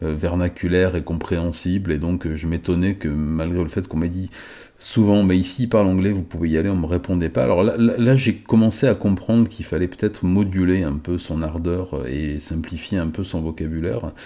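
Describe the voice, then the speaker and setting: A man's very deep, low voice with a dark, mellow tone, ordinary pitch variation and a fairly quick pace. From France. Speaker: YouTuber vlogger. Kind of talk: casual vlog storytelling. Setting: close camera angle. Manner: hesitant, many filler sounds. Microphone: close to the microphone.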